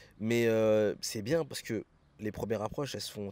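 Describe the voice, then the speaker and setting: A man speaks at a moderate pace in a fairly low pitch. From France. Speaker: expatriate sharing experience. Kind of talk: casual interview. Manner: casual, hesitant with many fillers.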